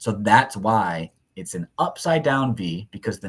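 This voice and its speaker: In a very clean recording with a silent background, a man talks at medium pitch with ordinary pitch variation and a somewhat breathy quality. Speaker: math teacher. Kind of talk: lecture. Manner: fast.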